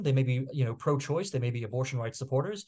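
A somewhat breathy man speaks at a very fast pace and medium pitch. The background is quiet. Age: 40s. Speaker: political commentator and magazine editor. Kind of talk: casual interview. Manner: halting with many fillers.

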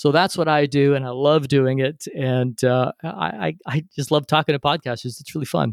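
A man speaks in an ordinary speaking voice, fairly high for a man, with ordinary pitch variation at a moderate pace. The sound is dry and close with no echo, and there are hardly any pauses. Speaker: podcast host and interview coach. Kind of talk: casual interview conversation.

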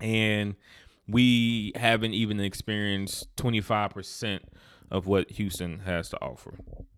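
In a very clean recording with a silent background, a man with a fairly low pitch talks at a fairly slow pace and with fairly even intonation. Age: 20s. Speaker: podcast host. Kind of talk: casual monologue. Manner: halting, many fillers and repetitions.

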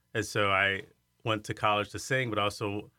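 Monotone and flat, a man with an American accent speaks at a fairly low pitch. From Iowa, US Midwest. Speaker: arts center director, former opera singer. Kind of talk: interview.

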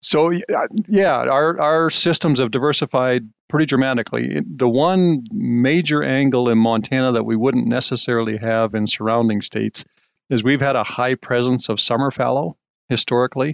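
An ordinary speaking voice from a man, medium in pitch, has ordinary pitch variation and very even loudness. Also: moderate pace. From Saskatchewan, Canada. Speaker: agricultural scientist. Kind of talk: interview.

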